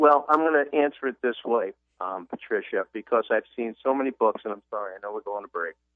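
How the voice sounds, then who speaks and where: With ordinary pitch variation, a man speaks fairly quickly. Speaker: author and business consultant. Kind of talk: radio interview. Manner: fast.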